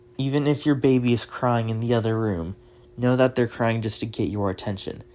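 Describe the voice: What you hear is plain reading aloud.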